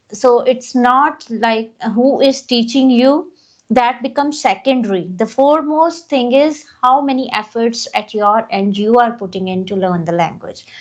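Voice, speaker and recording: This woman's voice sits high in pitch and moves at a fairly slow pace. Her intonation is lively. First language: not English. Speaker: English teacher. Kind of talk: casual chat.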